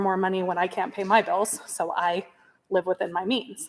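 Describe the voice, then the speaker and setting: Speaking in an American accent at a moderate pace, the voice keeps a monotone, flat intonation. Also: woman. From US, local rural school district. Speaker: parent speaking at public meeting. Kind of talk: public comment at school board meeting.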